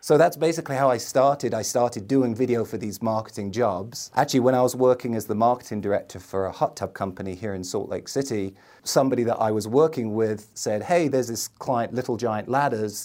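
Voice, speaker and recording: In a very clean recording with a silent background, a man with a London accent speaks very fast with hardly any pauses, his dark, mellow voice at medium pitch with ordinary pitch variation. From London, England. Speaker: entrepreneur, video ad agency owner. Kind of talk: casual interview chat.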